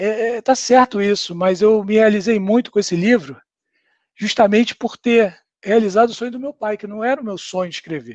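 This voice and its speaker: At a moderate pace, a man with a high pitch and ordinary pitch variation speaks with big swings in loudness, the sound dry and close with no echo. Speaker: author. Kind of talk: live stream book launch talk. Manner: halting, many fillers.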